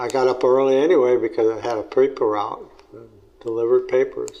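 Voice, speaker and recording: A man talking at a fairly quick pace amid noticeable background noise. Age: 80s+. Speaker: family elder interviewee. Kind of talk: oral history interview. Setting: at home. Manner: halting.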